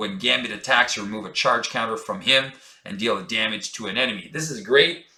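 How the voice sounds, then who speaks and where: On a very clean recording with a silent background, a man speaks in a bright, sharp tone with lively intonation. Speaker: board game content creator. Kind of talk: game tutorial talk to camera. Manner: casual, many filler words.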